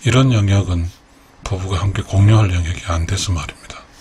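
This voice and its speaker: Noticeable background noise sits behind a man talking at a fairly quick pace. His pitch is fairly low, with fairly even intonation. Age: 60s. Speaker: YouTube creator, retiree. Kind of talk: late-night radio-style personal talk. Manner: halting, many fillers.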